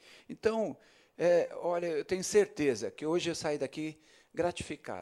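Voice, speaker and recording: This is a man speaking at a moderate speed. Behind him the background is silent, and the recording is very clean. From São Paulo state, Osasco. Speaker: city councillor. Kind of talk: ceremonial speech. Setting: council chamber. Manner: halting.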